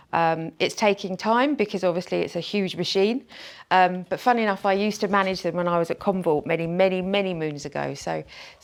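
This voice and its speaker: With a British accent, a woman talks fairly quickly at a medium pitch with ordinary pitch variation. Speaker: channel sales executive. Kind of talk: conference presentation. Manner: hesitant with many fillers and repetitions.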